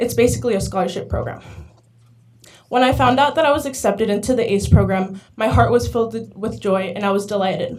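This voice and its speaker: Amid audible room echo, a woman with vocal fry talks at medium pitch and a fairly quick pace, with ordinary pitch variation. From Arizona, US. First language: Spanish. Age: young. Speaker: community college student, public commenter. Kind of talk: public comment speech, read prepared statement. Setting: governing board meeting. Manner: halting, occasional stumbles.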